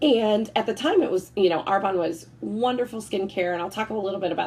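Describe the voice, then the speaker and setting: A somewhat breathy woman speaks at a fairly quick pace in an animated tone. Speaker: network marketing consultant. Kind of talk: sales presentation. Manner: fast.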